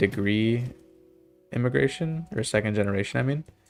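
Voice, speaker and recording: Music runs in the background while a man talks in a medium pitch. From Canada. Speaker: video game streamer. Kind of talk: casual chat. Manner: halting.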